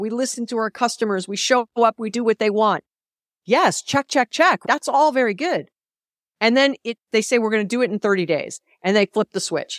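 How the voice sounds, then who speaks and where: A woman speaks at a moderate pace in a plain, everyday voice. Her pitch is fairly high with ordinary variation, in a dry, close sound with no echo. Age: 50s. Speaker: business author and keynote speaker. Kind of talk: interview.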